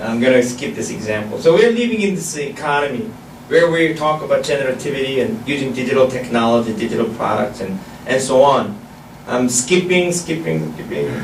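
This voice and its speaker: This man speaks with a Korean accent at a fairly quick pace. His medium-pitched voice makes very wide pitch swings, with audible room echo and noticeable background noise. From South Korea. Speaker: professor. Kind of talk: lecture. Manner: halting.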